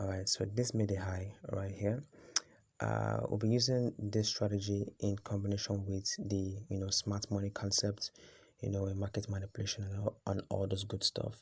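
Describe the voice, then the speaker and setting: A man's fairly low, somewhat breathy voice with monotone, flat intonation, on a very clean recording with a silent background. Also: moderate pace. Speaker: forex trading educator. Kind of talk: tutorial. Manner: halting, many fillers.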